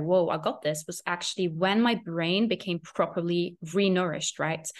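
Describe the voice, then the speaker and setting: A woman with a non-native accent, fairly low in pitch, at a moderate pace. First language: not English. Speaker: eating disorder recovery coach. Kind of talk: casual interview chat.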